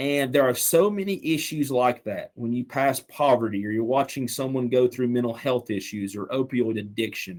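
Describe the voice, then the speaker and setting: This man speaks with a Southern accent at a moderate pace. His pitch is medium. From Western North Carolina, Canton. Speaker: small-town mayor. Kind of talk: podcast interview. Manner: impassioned.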